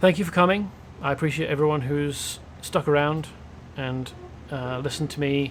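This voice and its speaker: This man has a British accent and a fairly high pitch. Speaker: video game streamer. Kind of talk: casual gameplay commentary.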